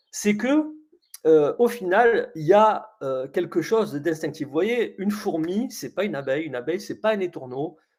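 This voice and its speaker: His pitch sits high for a man, and this man's intonation rises and falls in a lively way. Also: moderate pace. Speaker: coach running a webinar. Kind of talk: live webinar presentation. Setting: online webinar. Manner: hesitant, many fillers.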